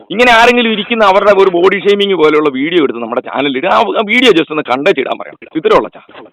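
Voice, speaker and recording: A man's high-pitched voice with lively intonation and big swings in loudness, over noticeable background noise. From Thalassery, Kerala. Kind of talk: complaint phone call.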